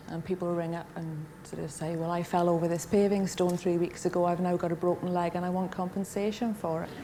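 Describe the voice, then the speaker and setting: Over noticeable background noise, a woman with a Welsh accent speaks at a fairly quick pace and a fairly low pitch. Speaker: talent show contestant. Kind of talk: TV interview.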